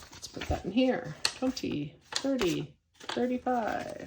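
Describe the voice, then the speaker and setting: A woman's voice over noticeable background noise. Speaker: budgeting vlogger counting cash.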